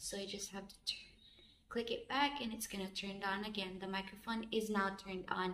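A woman talks at a fairly quick pace with fairly even intonation, over light background noise and audible room echo. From Philippines. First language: Filipino language. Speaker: vlogger. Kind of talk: casual vlog, unboxing and tutorial. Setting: outdoors, recording herself on camera. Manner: halting, with fillers and repetitions. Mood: warm, grateful. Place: empty room. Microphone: phone near.

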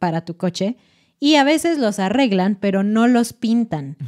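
Over a quiet background, a woman with a fairly high pitch and a dark, mellow tone speaks at a fairly slow pace. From Mexico City. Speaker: Spanish teaching podcast host; podcast co-host. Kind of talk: educational casual chat. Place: studio. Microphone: studio mic.

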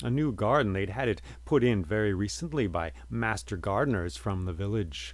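Here a man speaks with a very deep, low pitch and vocal fry in a calm tone. His pace is moderate, and his pitch swings very widely. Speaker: storyteller and podcast host. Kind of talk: storytelling, scripted-style fairy tale narration. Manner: calm, measured, soft-spoken narrator; warm, reflective, with frequent 'uh' and 'um' fillers.

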